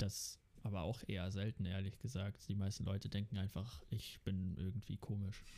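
At a moderate pace, a man speaks in a fairly low pitch with a dark, mellow tone and very even loudness. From Netherlands, Amsterdam. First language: Dutch (speaking German). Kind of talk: casual chat.

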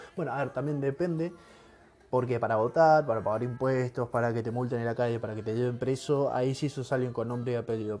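With a Rioplatense accent, a man speaks at a fairly quick pace and medium pitch. His intonation is fairly even, and music plays in the background. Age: 20s. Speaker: podcaster. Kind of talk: personal reflective monologue. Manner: casual, hesitant with fillers.

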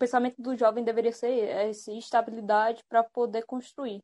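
This woman has an ordinary speaking voice, fairly high in pitch, with fairly even intonation at a moderate pace. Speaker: unemployed graduate. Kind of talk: casual chat.

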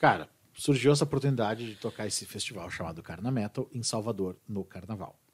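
A man with an ordinary speaking voice talks at a fairly quick pace and a fairly low pitch, with ordinary pitch variation and big swings in loudness. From southern Brazil, Serra Gaúcha (Bento Gonçalves). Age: 40s. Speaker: rock singer. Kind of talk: casual chat. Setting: studio.

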